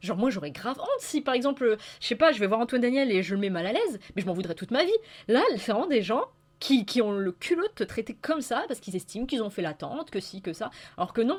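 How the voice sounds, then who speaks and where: A woman talks at a very fast pace with a fairly high pitch. Her pitch swings very widely. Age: young. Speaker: YouTuber. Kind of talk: casual monologue. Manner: improvised, hesitant.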